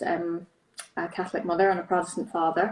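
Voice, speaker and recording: A woman speaks with a Northern Irish accent. Her intonation is monotone and flat. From Northern Ireland. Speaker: charity director. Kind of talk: interview. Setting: Instagram live video.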